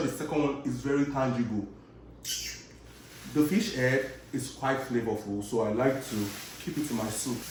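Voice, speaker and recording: With audible room echo and noticeable background noise, a man with a fairly high pitch speaks in an animated tone. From Nigeria and Chicago. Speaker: cooking vlogger. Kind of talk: casual chat while cooking.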